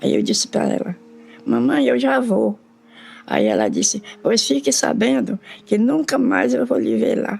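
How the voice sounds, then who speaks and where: Music plays in the background as a woman speaks at a fairly slow pace. Her loudness stays very even throughout. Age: 90s. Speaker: elderly nun. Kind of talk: interview. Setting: recorded at home with headphones.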